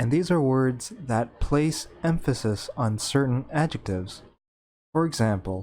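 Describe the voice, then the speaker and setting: A man talks at a fairly slow pace and medium pitch with an American accent. His intonation is lively. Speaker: English teacher. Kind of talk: educational tutorial narration. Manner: slow, clear.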